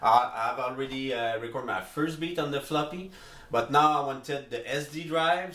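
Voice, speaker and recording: Noticeable background noise and audible room echo surround a man speaking at a moderate pace. His pitch is fairly high, with ordinary variation. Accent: French. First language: French. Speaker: music producer, beatmaker. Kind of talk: tutorial. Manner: halting, many fillers.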